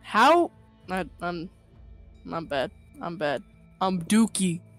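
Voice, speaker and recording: A man's high voice at a very slow pace, with ordinary pitch variation, a dry, close sound without echo, and music in the background. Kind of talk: casual gaming banter.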